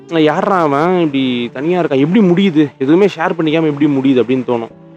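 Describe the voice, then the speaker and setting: A man's voice with music in the background. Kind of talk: sleep podcast talk. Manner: calm, unscripted conversational.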